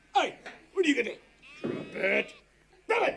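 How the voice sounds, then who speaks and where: Put-on character voice from a man, extremely high in pitch, at a fairly quick pace. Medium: comedy sketch. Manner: curt, commanding.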